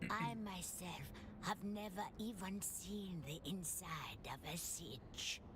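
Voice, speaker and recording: A woman in a put-on character voice at a very slow pace, over loud background noise. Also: medium pitch for a woman. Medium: video game. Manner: gentle, reminiscing.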